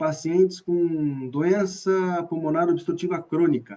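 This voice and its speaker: A man's high-pitched voice, dark and mellow in tone, with an interior São Paulo accent, at a very slow pace. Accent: interior São Paulo accent (caipira). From Brazil, Bauru, interior of São Paulo state. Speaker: professor of physical education. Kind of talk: online lecture (live stream). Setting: live video stream.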